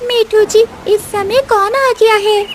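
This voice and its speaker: In a cartoonish character voice, a female-sounding speaker goes squeaky at an extremely high pitch, keeping a moderate pace. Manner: soft, warm.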